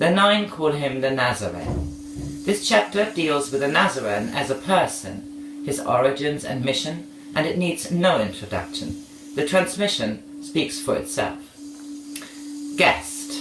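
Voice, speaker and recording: Speaking fairly slowly, a man is heard with audible room echo and noticeable noise behind him. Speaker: audiobook reader. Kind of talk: reading aloud. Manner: loud.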